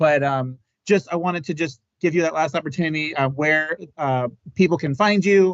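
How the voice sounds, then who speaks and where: At a moderate pace, a man with a fairly high pitch and ordinary pitch variation speaks in an unremarkable speaking voice. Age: 40s. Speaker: podcast host. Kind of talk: casual chat. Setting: live podcast.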